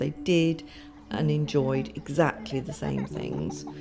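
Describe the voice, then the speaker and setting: A soft-spoken woman talks at a fairly slow pace. Music plays in the background. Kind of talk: documentary interview answer.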